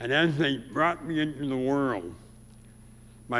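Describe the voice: In a room with audible echo, a man with an American accent speaks slowly in a fairly bright, nasal tone with lively intonation.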